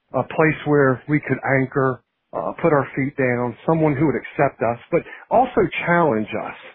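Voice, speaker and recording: A man with a Virginia accent speaks at a moderate pace. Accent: Virginia Southern. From Virginia, Shenandoah Valley (Harrisonburg). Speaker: pastor. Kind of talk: testimony. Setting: phone call.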